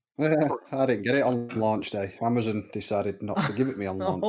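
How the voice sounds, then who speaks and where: Lively intonation marks a man's medium-pitched voice in a northern English accent. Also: moderate pace. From northern England. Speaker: podcast co-host. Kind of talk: casual, colloquial British.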